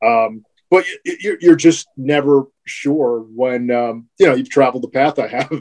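A man's normal speaking voice at a fairly high pitch and fairly slow pace, with ordinary pitch variation and an American accent. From North Jersey (Bloomfield, New Jersey). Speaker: sports play-by-play broadcaster. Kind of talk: casual interview chat.

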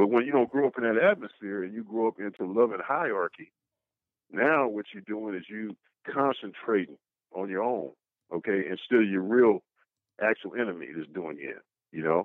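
Here a man with a fairly low voice talks at a moderate pace. There are long, frequent pauses and big swings in loudness. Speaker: guest. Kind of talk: heated debate. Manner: forceful, emphatic, interrupting, stepping on toes.

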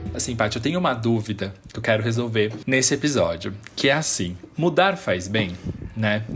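Music plays and the room echoes audibly as a man with a medium pitch speaks with lively intonation. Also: moderate pace. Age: 20s. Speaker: podcast host. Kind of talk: casual interview chat.

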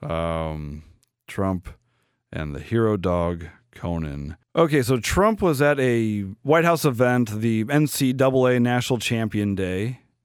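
On a very clean recording with a silent background, a man speaks at a medium pitch and a very slow pace. His pitch swings very widely. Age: 40s. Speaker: podcast host. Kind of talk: casual commentary.

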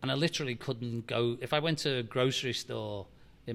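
The speaker is a man. He talks with a Liverpool accent. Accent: Liverpool (Scouse) English. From Liverpool, England. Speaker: football club chief executive. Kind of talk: interview. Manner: halting.

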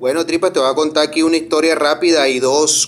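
A man delivers his words fairly quickly and with fairly even intonation, noticeable noise running behind him. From Colombia, Barranquilla. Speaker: caller. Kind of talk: phone-in story.

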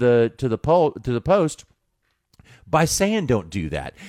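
A man speaks at a fairly slow pace. The very clean recording has a silent background and a dry, close sound with no echo. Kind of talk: casual sports talk. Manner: conversational, relaxed, hesitant with filler words.

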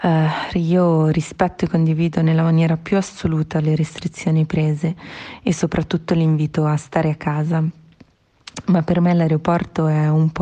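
A woman's very deep, low voice, dark and mellow and somewhat breathy, stays monotone and flat at a moderate pace. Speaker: airport check-in agent. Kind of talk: personal testimony.

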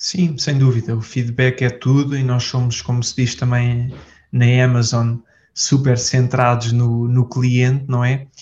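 Somewhat breathy, a man talks at a fairly slow pace with a medium pitch and monotone, flat intonation. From Portugal. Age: 20s. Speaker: entrepreneur. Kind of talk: casual interview. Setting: office.

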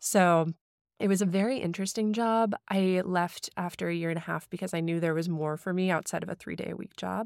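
A woman's fairly low voice with an American accent, a normal speaking voice with fairly even intonation, dry and close with no echo, in a very clean recording with a silent background. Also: fairly quick pace. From US Midwest, St. Louis, Missouri (some childhood years in Hong Kong). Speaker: recipe developer and social media food creator. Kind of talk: casual interview. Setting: studio.

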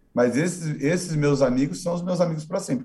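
Using a dark, mellow tone, a man talks at a fairly quick pace. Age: 20s. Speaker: online video presenter and actor. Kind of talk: casual interview. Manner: halting, many repetitions.

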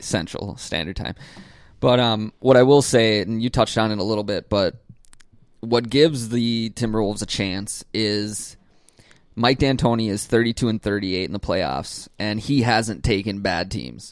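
A man with an unremarkable speaking voice and fairly low pitch. He talks at a moderate pace with ordinary pitch variation. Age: 20s. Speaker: sports podcast co-host. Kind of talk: casual chat.

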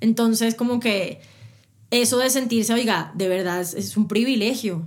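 In a very clean recording over a silent background, a woman's voice comes through fairly high in pitch. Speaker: radio and TV presenter, interviewer. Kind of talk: casual interview conversation. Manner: fast.

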